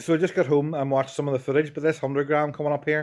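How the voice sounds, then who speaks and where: A man's fairly high-pitched voice in a very clean recording with a silent background. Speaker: distance casting angler. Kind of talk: casual vlog commentary. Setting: outdoors on a beach. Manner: shouting.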